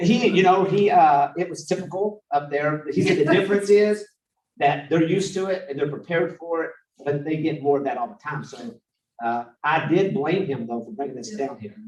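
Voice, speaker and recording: With a high pitch, lively intonation and big swings in loudness, a man talks in an animated tone. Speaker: city staff director presenting to council. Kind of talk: council workshop presentation. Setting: city council meeting. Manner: fast.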